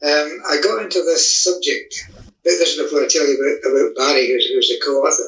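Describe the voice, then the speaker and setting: Here a man talks in a Scottish accent at a fairly quick pace. His loudness stays very even. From Scotland. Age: 70s. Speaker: author. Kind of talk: interview.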